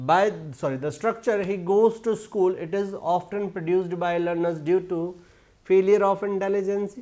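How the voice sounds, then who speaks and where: Over a quiet background, a man with a high pitch and a dark, mellow tone talks at a moderate pace with fairly even intonation. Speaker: teacher. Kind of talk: lecture. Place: classroom. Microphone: lapel.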